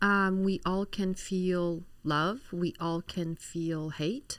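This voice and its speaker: A woman's fairly low voice with a slight Polish accent, very slow pace and ordinary pitch variation. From Poland, Warsaw. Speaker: physician. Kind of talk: interview.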